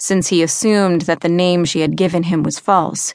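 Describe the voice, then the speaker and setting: A woman with a normal speaking voice talks at a fairly low pitch. The sound is dry and close, with no echo. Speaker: audiobook narrator. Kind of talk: audiobook narration of fantasy fiction, reading aloud with character voices.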